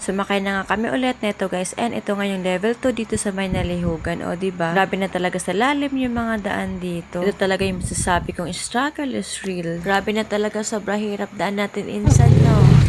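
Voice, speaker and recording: A woman's medium-pitched voice at a fairly quick pace with hardly any pauses and ordinary pitch variation, over music in the background. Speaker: vlogger. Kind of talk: travel vlog narration.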